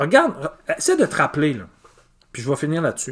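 A man's fairly high voice with very wide pitch swings against a quiet background. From Quebec, Îles-de-la-Madeleine; Quebec. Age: 40s. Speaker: teacher. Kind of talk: casual video monologue. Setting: home garage. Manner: hesitant, many fillers. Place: garage. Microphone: phone near.

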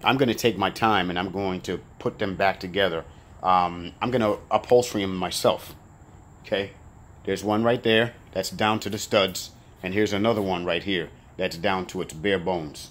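At a moderate pace, a man talks in a fairly low pitch with fairly even intonation. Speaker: storage auction buyer and video creator. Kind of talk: pitchman sales talk, coaching viewers. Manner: emphatic, direct, boastful; repetitive, insistent.

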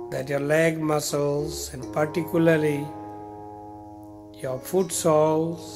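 A man speaks very slowly in a fairly high voice, with long, frequent pauses and fairly even intonation. Music plays in the background. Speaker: meditation guide. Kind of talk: guided meditation. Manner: slow, soft-spoken.

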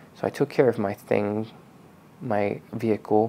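A man speaks in a fairly low voice. His pace is moderate and his intonation fairly even. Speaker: car detailing channel host. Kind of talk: personal vlog talk. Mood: reflective, calm, personal.

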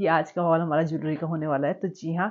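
Moderate pace from a woman's voice. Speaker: lifestyle vlogger. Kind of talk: casual vlog chat. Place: home room. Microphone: lapel.

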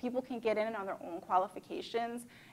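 A woman's fairly high voice in an American accent, at a moderate pace with ordinary pitch variation. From Chicago, US Midwest. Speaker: nonprofit leader; panelist. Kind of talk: panel discussion. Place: hall. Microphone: lapel.

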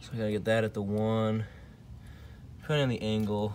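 The man's fairly low voice comes through noticeable background noise. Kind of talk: casual tutorial vlog. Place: garage. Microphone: phone near.

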